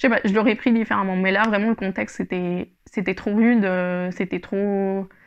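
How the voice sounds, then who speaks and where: A woman's medium-pitched voice at a moderate pace, monotone and flat in intonation. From Spain. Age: 20s. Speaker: yarn shop owner and knitting podcaster; knitting podcaster. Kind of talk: casual solo podcast monologue. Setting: home recording with microphone. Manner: hesitant, many fillers. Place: home room. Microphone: lapel.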